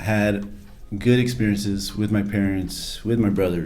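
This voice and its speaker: In a room with audible echo, a man speaks with a fairly low pitch and a dark, mellow tone. His pace is moderate and his pitch variation ordinary. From Arizona, US. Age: 40s. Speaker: addiction recovery storyteller. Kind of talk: interview testimony. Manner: casual, hesitant with fillers.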